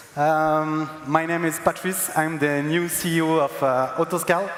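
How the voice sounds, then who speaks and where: Over noticeable background noise, a man with a strong French accent speaks in a fairly high pitch with monotone, flat intonation. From France. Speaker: company CEO. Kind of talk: stage introduction. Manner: halting.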